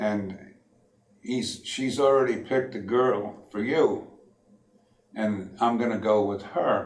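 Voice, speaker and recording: A man talks at a very slow pace, with long pauses that come often. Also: medium pitch for a man, ordinary pitch variation. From Connecticut, USA. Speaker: World War II Navy veteran. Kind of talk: interview answer.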